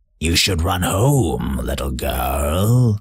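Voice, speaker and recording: A man's put-on character voice, raspy and growling at a very deep, low pitch. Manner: menacing, growling.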